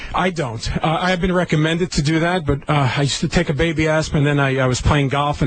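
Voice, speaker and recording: With noticeable background noise behind him, a man talks at a very fast pace with hardly any pauses, keeping his loudness very even and his intonation fairly even. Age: 50s. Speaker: urologist. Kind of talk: casual chat.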